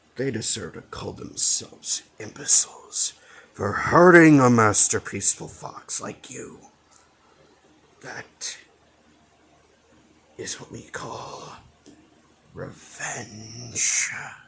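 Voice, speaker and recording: A man uses a put-on character voice, raspy and medium in pitch. He speaks at a very slow pace with long, frequent pauses. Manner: sly, persuasive.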